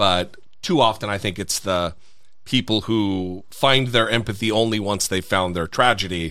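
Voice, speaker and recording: Captured in a very clean recording with a silent background, the voice has a bright, sharp, animated tone, ordinary pitch variation and a moderate pace. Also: man, fairly low pitch for a man. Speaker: podcast host. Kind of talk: casual chat, interview. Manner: animated, profane.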